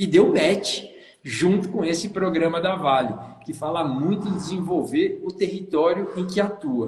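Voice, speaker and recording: Animated and high-pitched, a man speaks at a fairly slow pace with audible room echo around his voice. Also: ordinary pitch variation. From São Paulo state, Brazil. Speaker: tourism consultant and live show host. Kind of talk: live stream hosting. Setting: Instagram live video.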